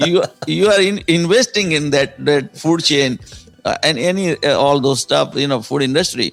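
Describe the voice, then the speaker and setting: Over music in the background, a man with a fairly high pitch speaks at a moderate pace with lively intonation. His loudness stays very even throughout. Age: 60s. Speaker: entrepreneur and author. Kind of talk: podcast interview answer.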